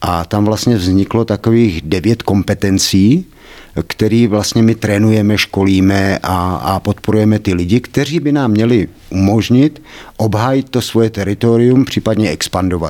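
The man's voice is fairly low in pitch with a dark, mellow tone. He speaks at a fairly slow pace with very even loudness. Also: ordinary pitch variation. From Czechia, Kladno area. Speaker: personal development trainer. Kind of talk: interview.

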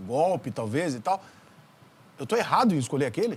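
This man's pitch swings very widely. He speaks very fast. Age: 40s. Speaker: podcast host, journalist. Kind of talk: interview. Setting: studio.

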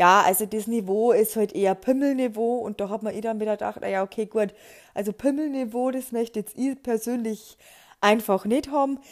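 At a moderate pace and fairly high pitch, a woman talks in an ordinary speaking voice with ordinary pitch variation, in a very clean recording with a silent background. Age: 30s. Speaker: podcaster. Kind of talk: casual monologue.

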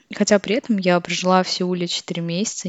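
A woman with a plain, everyday voice talks at a fairly slow pace and a fairly low pitch, keeping her intonation fairly even. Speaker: podcast host. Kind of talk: monologue reflection.

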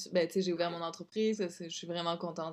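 A woman with a fairly low pitch talks at a fairly quick pace on a very clean recording with a silent background. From southern France, Nice. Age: 30s. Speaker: business owner. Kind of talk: interview. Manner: animated.

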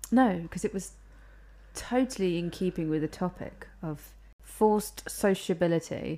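A woman with a British accent speaks in a dark, mellow tone at a fairly low pitch, leaving long, frequent pauses. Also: ordinary pitch variation, moderate pace. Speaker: podcast co-host. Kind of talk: casual chat. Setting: home recording with mics.

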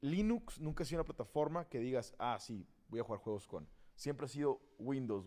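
Speaking at a fairly quick pace, a man with a fairly high pitch and a dark, mellow tone uses lively intonation. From Tijuana, Mexico. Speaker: guest, gamer. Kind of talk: casual chat.

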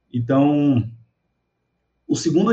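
The voice has a dark, mellow tone, is somewhat breathy, shows ordinary pitch variation, and carries audible room echo. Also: man. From Brazil, Salvador (Bahia). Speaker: teacher and social media educator. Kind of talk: casual chat. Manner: animated.

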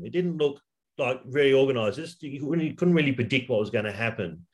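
A man of medium pitch talks at a fairly quick pace, his pitch swinging very widely. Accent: Australian. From Western Sydney, Australia. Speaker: high school English teacher, football fan. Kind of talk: casual interview. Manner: halting, many fillers.

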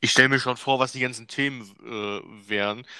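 A man with a medium-pitched, bright, sharp voice speaks at a fairly quick pace with fairly even intonation, recorded dry and close with no echo on a very clean recording with a silent background. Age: 20s. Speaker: podcast co-host. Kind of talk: casual chat.

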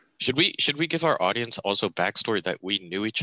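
Talking at a fairly quick pace, a man uses an ordinary speaking voice pitched fairly low. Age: 20s. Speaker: podcast co-host. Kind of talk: casual chat.

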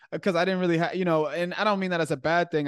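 The background is quiet, and the sound is dry and close with no echo. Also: man. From Chicago. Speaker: podcast host. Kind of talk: interview. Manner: animated.

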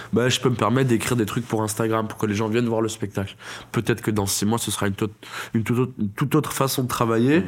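Very fast speech comes from a man at a medium pitch. His intonation stays fairly even. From France, Toulouse. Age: 20s. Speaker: stand-up comedian. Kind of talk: casual interview chat. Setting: studio.

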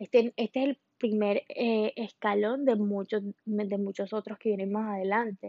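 Hardly pausing, a woman speaks fairly slowly with fairly high pitch and monotone, flat intonation. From Colombia. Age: 20s. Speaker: podcast host. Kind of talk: monologue podcast.

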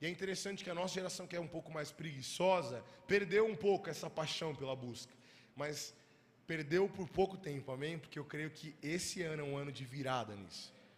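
A man's fairly high-pitched, animated voice at a fairly quick pace, with ordinary pitch variation and audible room echo. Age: 20s. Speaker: youth pastor. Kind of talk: sermon. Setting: church.

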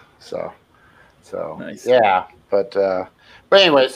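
A man talks with an American accent. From San Francisco Bay Area. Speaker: brewery ambassador. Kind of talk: casual interview chat.

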